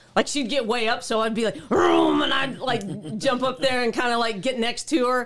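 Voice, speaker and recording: A woman speaks in a high pitch with an American accent, at a moderate pace with hardly any pauses. Her pitch varies in an ordinary way, her loudness stays very even, and there is noticeable background noise. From Oklahoma, small town. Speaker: motorcycle traveler. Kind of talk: casual interview.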